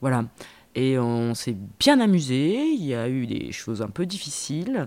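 A woman speaks with lively intonation in a very deep, low pitch, recorded very cleanly against a silent background. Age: 40s. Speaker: TV news presenter. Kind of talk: interview. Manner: halting.

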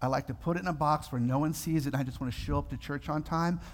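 In a very clean recording with a silent background, a man talks at a very fast pace, somewhat breathy and medium in pitch. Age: 50s. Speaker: pastor. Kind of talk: sermon. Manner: animated.

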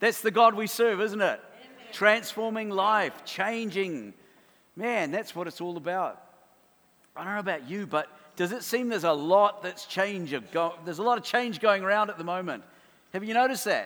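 A man with a New Zealand accent speaks in a high pitch with a bright, sharp tone at a moderate pace. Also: ordinary pitch variation. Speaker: preacher. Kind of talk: sermon. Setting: church.

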